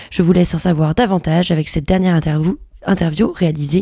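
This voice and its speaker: A woman talks at a very fast pace in a dark, mellow, somewhat breathy tone. Her intonation stays fairly even. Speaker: radio host. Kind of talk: radio show presenting. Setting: studio.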